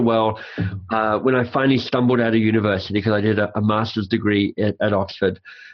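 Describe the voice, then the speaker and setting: A man talks at a very fast pace with a slight Australian accent. His pitch sits in the medium range. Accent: faint Australian. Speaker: author and coach. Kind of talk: interview. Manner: animated.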